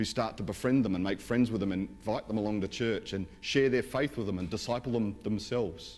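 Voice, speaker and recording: A fairly brisk male voice in an Australian accent. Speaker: pastor. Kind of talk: sermon. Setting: church.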